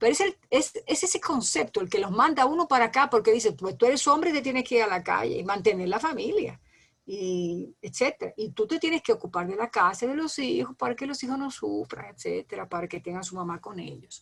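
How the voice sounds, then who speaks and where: A woman's fairly high voice, touched with vocal fry, moves at a fairly quick pace with very wide pitch swings and big swings in loudness. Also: hardly any pauses. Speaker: lecturer. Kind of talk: lecture. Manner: fast.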